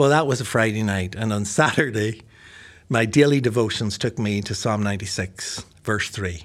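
This man's voice sits fairly low. His pitch varies in an ordinary way. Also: moderate pace, very clean recording, silent background. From Belfast, Northern Ireland. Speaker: pastor and seminary-trained author. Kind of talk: casual interview conversation.

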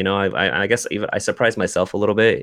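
At a very fast speed, a man with an American accent talks over a quiet background. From US Pacific Northwest (Seattle area). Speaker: video game journalist. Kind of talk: casual chat.

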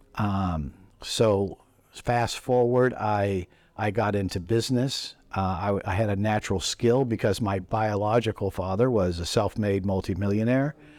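A man talks in a normal speaking voice at a fairly low pitch. He moves at a fairly slow pace with ordinary pitch variation. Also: very clean recording, silent background. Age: 60s. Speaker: rabbi and ministry leader. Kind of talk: interview. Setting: hotel lobby with background noise.

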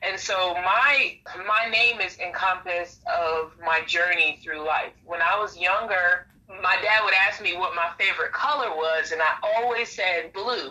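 Speaking fairly slowly with hardly any pauses, this voice has an American accent, ordinary pitch variation, and noticeable background noise. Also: woman. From Brooklyn, New York. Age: 30s. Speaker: motivational YouTuber. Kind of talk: casual interview.

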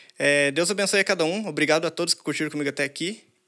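This man's voice sits at a fairly high pitch. Its tone is bright and sharp. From interior of São Paulo state, Brazil. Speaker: DJ. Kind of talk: live stream intro and outro. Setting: studio, live stream.

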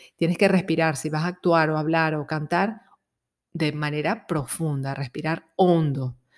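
With fairly even intonation, a woman talks in a very deep, low register. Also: fairly slow pace. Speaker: psychologist. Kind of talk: self-help talk.

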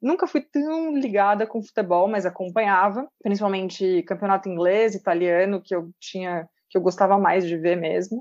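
A woman in a normal speaking voice talks at a moderate pace with hardly any pauses and ordinary pitch variation. The sound is dry and close with no echo, over a quiet background. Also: medium pitch for a woman. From interior of São Paulo state, Brazil (Pedreira). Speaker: sports content creator. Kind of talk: casual chat.

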